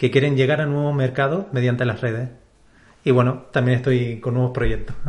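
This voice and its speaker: This man speaks at a fairly quick pace, his voice somewhat breathy. His pitch is medium and his intonation fairly even. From Canary Islands, Spain. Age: 30s. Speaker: publishing company CEO. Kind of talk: interview.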